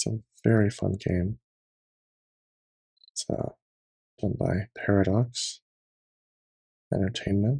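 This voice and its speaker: A man speaks calmly at a fairly slow pace, his pitch fairly low with ordinary variation. His tone is dark and mellow, and somewhat breathy. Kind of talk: ASMR gaming commentary, casual talk to camera. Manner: soft-spoken, calm.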